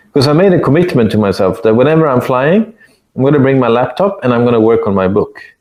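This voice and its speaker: A man with a non-native accent talks at a very fast pace and a medium pitch. His pitch swings very widely while his loudness stays very even. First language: not English. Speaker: author and consultant. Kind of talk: interview. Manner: halting.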